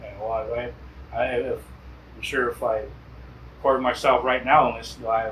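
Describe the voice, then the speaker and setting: Noticeable background noise surrounds a man talking with an American accent. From Quechan Nation, US Southwest. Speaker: traditional singer. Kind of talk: casual interview chat. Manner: halting, many repetitions.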